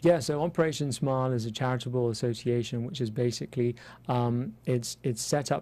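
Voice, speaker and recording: The speaker has an English accent and a dark, mellow tone. The pace is fairly quick. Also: man. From London, England. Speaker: cosmetic dentist. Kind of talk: interview. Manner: hesitant, many fillers.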